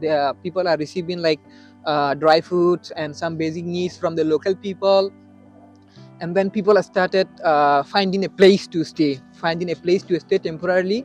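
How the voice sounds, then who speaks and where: Over music in the background, a man with a high pitch speaks at a moderate pace with fairly even intonation. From Rakhine State, Myanmar. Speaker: Rohingya refugee and university student. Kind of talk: interview answer.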